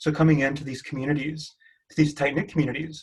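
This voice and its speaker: A somewhat breathy man with a slight Spanish accent talks at a very fast pace in a fairly high pitch, his intonation monotone and flat. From Mexican American. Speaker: PhD student researcher. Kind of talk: panel discussion.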